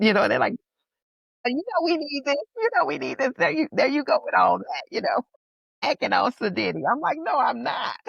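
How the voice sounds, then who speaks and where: The speech moves at a fairly quick pace in a New Orleans accent, with a dry, close sound and no echo. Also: woman. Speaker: playwright and priestess. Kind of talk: interview answer.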